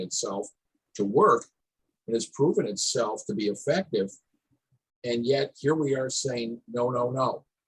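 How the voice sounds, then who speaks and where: Somewhat breathy and medium in pitch, a man with an American accent speaks at a fairly slow pace with lively intonation. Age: 60s. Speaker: town hall panelist. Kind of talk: panel discussion. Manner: halting, repetitive starts.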